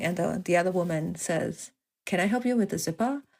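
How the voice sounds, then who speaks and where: A woman speaks fairly quickly at a fairly low pitch, with vocal fry. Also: very clean recording, silent background. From Singapore. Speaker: novelist. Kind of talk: interview conversation.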